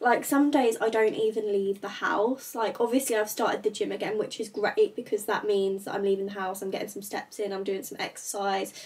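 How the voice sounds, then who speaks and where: The woman speaks with fairly even intonation. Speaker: lifestyle vlogger. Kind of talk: casual vlog chat. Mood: open, a bit reflective. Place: home room. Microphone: camera far.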